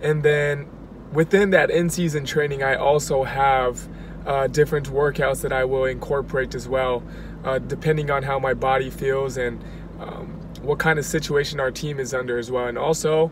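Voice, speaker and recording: Monotone, flat delivery from a man at a moderate pace, dry with no echo but with noticeable background noise. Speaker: athlete vlogger. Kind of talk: casual vlog chat. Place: car. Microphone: phone near.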